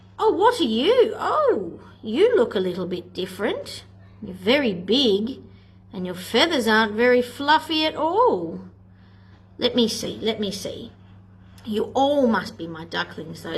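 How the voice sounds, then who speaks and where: Using a put-on character voice, a woman speaks at a fairly high pitch and a moderate pace. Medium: read story.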